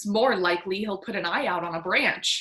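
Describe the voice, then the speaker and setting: A woman's whiny put-on character voice at medium pitch, fairly quick, with ordinary pitch variation. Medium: read story. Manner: whining.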